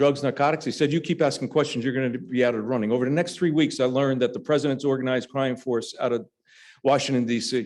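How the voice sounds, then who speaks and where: Over a quiet background, a man with an American accent speaks very fast at a medium pitch with fairly even intonation. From New Jersey. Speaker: former referee and state trooper. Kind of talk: speech. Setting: lunch club meeting, audience. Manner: conversational, humorous asides.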